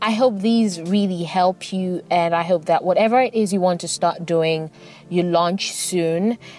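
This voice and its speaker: Over noticeable background noise, a woman talks at a fairly slow pace and medium pitch with fairly even intonation. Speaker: podcast host. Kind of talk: casual solo podcast monologue.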